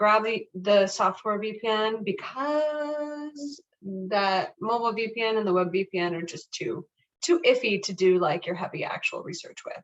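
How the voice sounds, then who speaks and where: A woman uses a normal speaking voice at a fairly high pitch. She moves at a moderate pace with lively intonation. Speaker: librarian. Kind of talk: library instruction workshop.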